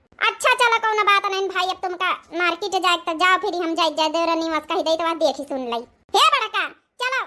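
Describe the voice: A woman does a cartoonish character voice at an extremely high pitch. She talks at a fairly quick pace with lively intonation.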